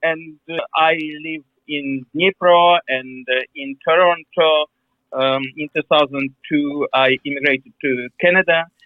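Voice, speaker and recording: A fairly high-pitched man with a Ukrainian accent, fairly slow and fairly even in intonation, with long, frequent pauses. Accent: Ukrainian accent, non-native English. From Ukraine. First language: Ukrainian or Russian. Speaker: historian, museum director. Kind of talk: interview. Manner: halting, many fillers.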